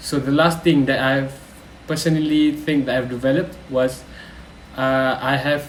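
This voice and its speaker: The speech is fairly slow, with fairly even intonation. Room echo is audible, and there is noticeable background noise. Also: man. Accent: Malaysian. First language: Malay. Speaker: university student. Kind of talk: reflective vlog. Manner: hesitant, with frequent fillers.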